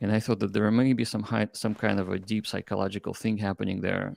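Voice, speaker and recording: A man's fairly low, monotone voice with a non-native accent, at a fairly quick pace, in a very clean recording with a silent background and dry, close sound with no echo. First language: not English. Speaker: crypto startup founder. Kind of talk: interview. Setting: live stream. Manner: halting.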